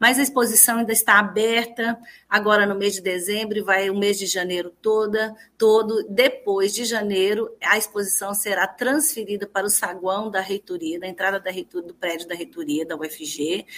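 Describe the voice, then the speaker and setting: In an ordinary speaking voice, a woman at medium pitch talks with hardly any pauses, ordinary pitch variation and big swings in loudness. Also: moderate pace. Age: 50s. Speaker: university rector. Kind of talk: radio interview. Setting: speaking remotely from her home living room.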